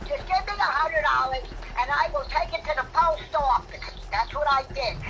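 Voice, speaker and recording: Over noticeable background noise, a woman uses a raised, projected voice at an extremely high pitch, with very wide pitch swings and a moderate pace. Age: 80s+. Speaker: streamer's grandmother. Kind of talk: casual chat.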